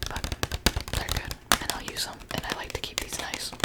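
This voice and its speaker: Over noticeable background noise, someone whispers at a moderate pace. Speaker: art school student. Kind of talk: ASMR whisper ramble. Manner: whispered, soft-spoken.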